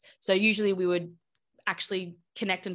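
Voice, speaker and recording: Here a woman speaks with an Australian accent. Her fairly low voice is monotone, with flat intonation. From Australia, Brisbane. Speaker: game studio production director. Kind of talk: interview.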